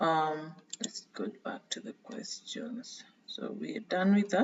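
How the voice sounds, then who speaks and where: With a non-native accent, a woman at medium pitch talks very slowly in a lively intonation against noticeable background noise. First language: not English. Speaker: tutorial creator. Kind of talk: screen-share tutorial. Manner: hesitant, frequent fillers.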